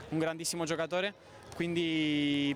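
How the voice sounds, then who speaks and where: Fairly even intonation from a man with a rather high-pitched voice. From Argentina, Santa Fe. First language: Spanish (speaking Italian). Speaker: basketball player. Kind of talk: post-game interview. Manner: halting.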